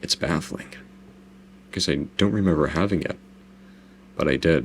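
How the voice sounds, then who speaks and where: A man's very deep, low voice with vocal fry, an American accent, ordinary pitch variation and a moderate pace. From US South (Southeast). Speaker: YouTuber giving director's commentary. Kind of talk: video commentary, casual. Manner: casual, repetitive self-corrections.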